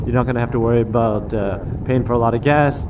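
Noticeable background noise accompanies a man speaking very fast. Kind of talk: casual vlog chat. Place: motorbike. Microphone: lapel.

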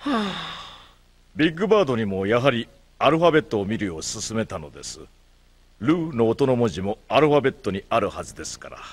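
A man's medium-pitched voice with vocal fry, at a fairly quick pace, with very wide pitch swings and big swings in loudness. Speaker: teacher character in a children's show. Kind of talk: 1970s-style children's educational TV commercial narration. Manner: calm, formal, teacherly and reassuring, with clear measured delivery.

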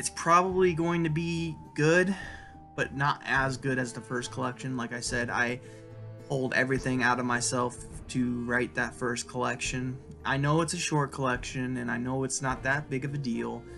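A man's voice at a moderate pace with ordinary pitch variation, clear music in the background. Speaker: writer vlogger. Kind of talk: casual vlog chat. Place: home room. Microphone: webcam.

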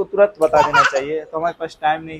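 A man speaks fairly quickly while loud background noise fills the recording. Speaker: vlogger. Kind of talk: casual vlog chat. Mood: earnest, slightly discouraged. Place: street. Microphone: phone near.

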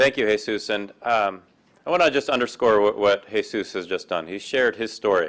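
Against a quiet background, a man in a normal speaking voice talks at a fairly low pitch and fairly quick pace with ordinary pitch variation. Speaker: event emcee. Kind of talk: event introduction and thanks. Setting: stage with audience. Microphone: podium.

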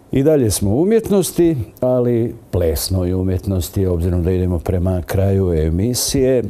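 Lively intonation marks this man's fairly low voice. He keeps a moderate pace and very even loudness. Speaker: TV presenter. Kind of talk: TV interview. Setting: studio. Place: studio. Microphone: lapel.

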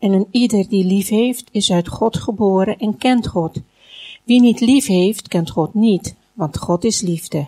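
Very slow and somewhat breathy, a woman's voice sits at a medium pitch. Her tone is dark and mellow, with ordinary pitch variation. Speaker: Dutch interpreter. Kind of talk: consecutive interpreting of a sermon into Dutch. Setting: church.

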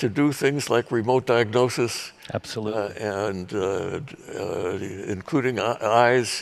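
This is a man speaking. His pace is very slow. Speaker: speaker. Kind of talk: interview answer. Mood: warm, humorous. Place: stage. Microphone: headset.

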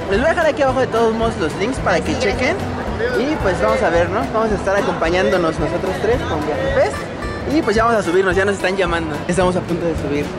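A man at a very fast pace over loud music in the background. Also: dry sound with no echo. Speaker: travel vlogger. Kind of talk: casual vlog chat. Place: street. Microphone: phone near.

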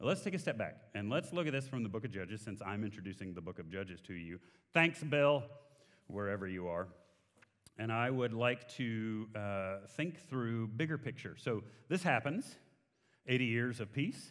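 With a Texan accent, a man of medium pitch talks at a moderate pace with lively intonation against a quiet background. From Texas. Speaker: guest preacher. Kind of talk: sermon. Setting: church. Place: church. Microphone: headset.

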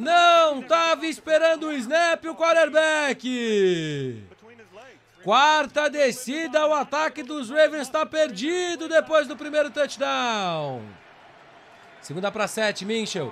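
Very slow and bright, sharp in tone, a man speaks at an extremely high pitch with ordinary pitch variation. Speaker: sports commentator. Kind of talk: live sports commentary over game highlights.

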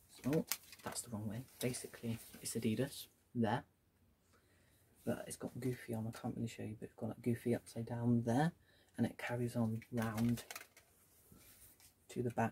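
A soft-spoken man's medium-pitched voice, dark, mellow and somewhat breathy, in a flat monotone with long, frequent pauses, over light background noise. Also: moderate pace. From UK. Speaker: YouTuber. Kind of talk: casual haul video. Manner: soft-spoken, speaking quietly. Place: home room. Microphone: phone near.

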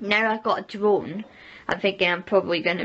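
A woman with a Scottish accent over loud background noise. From Scotland. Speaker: vlogger. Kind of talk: casual vlog talk. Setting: outdoors on a walk. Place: kitchen. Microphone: phone near.

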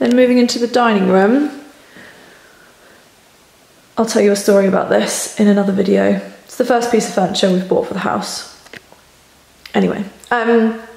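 With audible room echo, a woman talks at a moderate pace, using fairly even intonation and long, frequent pauses. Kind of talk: casual vlog chat. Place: home room. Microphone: phone near.

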